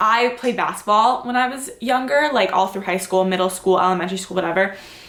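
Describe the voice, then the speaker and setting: A woman talks with audible room echo and noticeable noise in the background. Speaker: fitness vlogger. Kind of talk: casual vlog Q&A. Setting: home, filmed on tripod at night. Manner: rambling, casual, many fillers.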